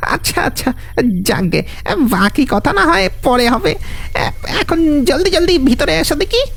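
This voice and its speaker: The speaker puts on a character voice at a fairly slow pace. Noticeable background noise runs underneath. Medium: audio drama. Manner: hesitant, chuckling, with filler sounds.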